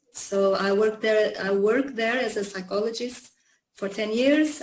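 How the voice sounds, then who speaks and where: A fairly slow voice in a Portuguese accent, with ordinary pitch variation and audible room echo. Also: woman. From Portugal, Lisbon. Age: 50s. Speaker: psychologist and yoga teacher. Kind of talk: interview. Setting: video call. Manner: halting, many fillers.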